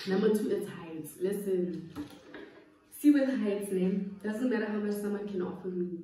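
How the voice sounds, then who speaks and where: A woman's dark, mellow, somewhat breathy voice with long, frequent pauses, audible room echo and light background noise. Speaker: YouTuber. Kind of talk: casual chat. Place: home room. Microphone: phone near.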